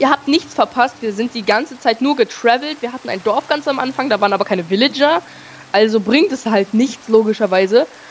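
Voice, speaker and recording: A woman speaks at a fairly quick pace with lively intonation and a fairly high pitch. Noticeable background noise runs under her voice. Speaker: Minecraft gaming podcast co-host. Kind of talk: casual gameplay chat. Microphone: too quiet.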